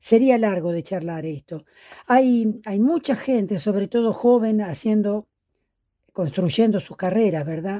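A woman's dark, mellow voice at medium pitch, fairly slow, with big swings in loudness over a quiet background. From La Pampa, Argentina. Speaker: folk singer. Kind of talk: interview. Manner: halting, many repetitions.

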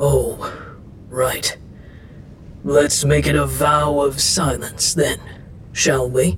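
A woman puts on a character voice pitched extremely low, speaking at a very slow pace with little pitch movement.

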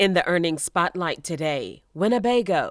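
In a normal speaking voice, a woman talks with a fairly low pitch and lively intonation. The recording is very clean, with a silent background. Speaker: finance news podcast host. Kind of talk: formal newsreading. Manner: brisk, even, businesslike delivery of figures; polished and formal.

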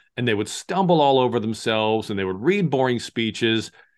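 An animated man with an American accent against a quiet background. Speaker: sportscaster and communication coach. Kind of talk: interview, coaching advice. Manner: articulate, animated.

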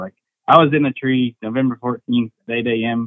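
A man with an American accent, medium pitch, ordinary pitch variation and a normal speaking voice. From Oklahoma. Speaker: deer hunter. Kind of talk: casual chat.

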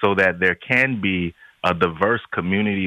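Moderate pacing in a man's very deep, low voice, the pitch varying in an ordinary way. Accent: American. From a country without local police forces, not the US. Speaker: pastor. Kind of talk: radio interview.

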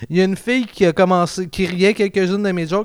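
A man talks at a very fast pace with a high pitch. His intonation is fairly even. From Quebec, South Shore (Marieville). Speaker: podcast host, amateur comedian. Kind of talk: casual chat.

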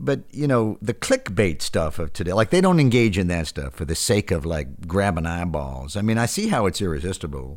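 Lively intonation and vocal fry at a fairly quick pace. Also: man, very deep, low pitch for a man. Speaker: podcast host, former baseball announcer.

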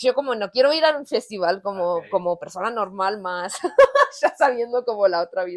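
A woman speaks in an ordinary speaking voice, pitched fairly high. Her intonation is lively and her pace fairly quick. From United States. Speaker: punk band musician. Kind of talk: casual interview.

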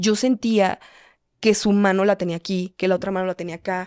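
Recorded very cleanly against a silent background, with a dry, close sound and no echo, a woman speaks at a medium pitch in a dark, mellow tone, fairly quickly and with fairly even intonation. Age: 20s. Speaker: content creator. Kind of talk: personal testimony in casual chat.

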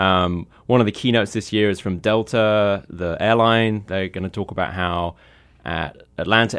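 Moderately paced, a man speaks at a fairly low pitch with fairly even intonation. He has a normal speaking voice. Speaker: tech journalist. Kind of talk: casual chat.

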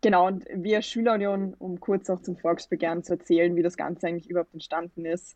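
The intonation is fairly even. A woman delivers it at a very fast pace. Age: 20s. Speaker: student representative, campaign initiator. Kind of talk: interview.

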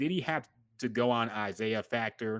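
A man at medium pitch and moderate pace against a quiet background. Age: 30s. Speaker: podcast host. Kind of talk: casual chat. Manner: animated.

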